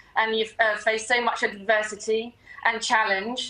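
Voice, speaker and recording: Against noticeable background noise, a woman speaks at a moderate pace in a fairly high, monotone voice with flat intonation. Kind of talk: interview answer. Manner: hesitant.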